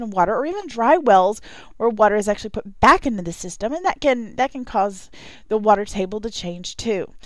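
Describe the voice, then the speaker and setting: This is a plain, everyday voice with lively intonation. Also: woman. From Texas. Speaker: geology instructor. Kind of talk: lecture.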